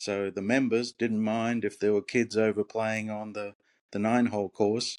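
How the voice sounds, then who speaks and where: This man has an Australian accent and a monotone, flat intonation at a moderate pace. The sound is dry and close with no echo, and the background is quiet. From Australia, Brisbane. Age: old. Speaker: retired golf professional. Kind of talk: interview.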